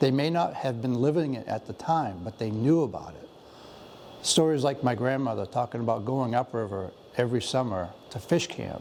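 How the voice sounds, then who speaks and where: A man has an ordinary speaking voice at medium pitch with ordinary pitch variation. He keeps a moderate pace, with big swings in loudness. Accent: American. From Penobscot reservation, Maine, US. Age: 60s. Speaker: Native artist and culture bearer. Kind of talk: museum interview, personal storytelling.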